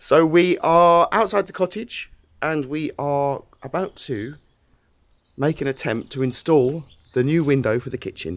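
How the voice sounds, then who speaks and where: A man with an English accent speaks at a fairly high pitch on a very clean recording with no background sound. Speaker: DIY renovation vlogger. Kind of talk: casual vlog narration. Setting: outdoors.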